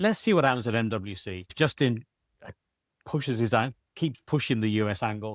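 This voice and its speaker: A man with a British accent, medium pitch and lively intonation at a fairly quick pace, in a dry, close sound with no echo on a very clean recording with a silent background. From Britain. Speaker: telecoms industry analyst. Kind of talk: panel discussion.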